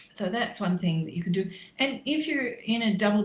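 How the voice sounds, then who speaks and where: A woman with an Australian accent speaks at a fairly quick pace in a somewhat breathy voice. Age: 60s. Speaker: natural medicine practitioner. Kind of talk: facebook live health talk. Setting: livestream.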